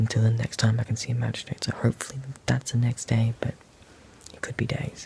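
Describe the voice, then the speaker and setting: Quiet and very fast, a man with an Australian accent speaks at medium pitch in a monotone, flat way, with big swings in loudness and noticeable background noise. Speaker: climate activist vlogger. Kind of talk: video diary.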